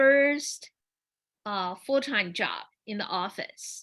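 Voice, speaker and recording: A woman speaks with a Chinese accent at a very slow pace, fairly high in pitch with ordinary pitch variation. Her tone is bright and sharp, and the recording is very clean with a silent background. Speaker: dancer and performer. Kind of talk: panel forum, personal storytelling. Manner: halting, many repetitions and fillers.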